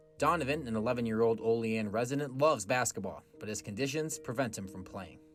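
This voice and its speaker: Over music in the background, the speech races at a very fast pace with hardly any pauses and big swings in loudness. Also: man, medium pitch for a man, ordinary pitch variation. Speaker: sportscaster. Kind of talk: TV news feature narration.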